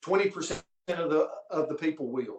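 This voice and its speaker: A man's high pitch with ordinary pitch variation. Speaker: network marketing leader; former coach. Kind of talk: motivational business talk. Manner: animated.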